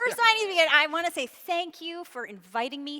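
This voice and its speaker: A woman with a Canadian accent uses a raised, projected voice. Her pitch swings very widely. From Canada, Montreal (anglophone Quebec). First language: Yiddish. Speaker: author. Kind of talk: onstage interview. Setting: stage with audience. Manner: halting, many restarts.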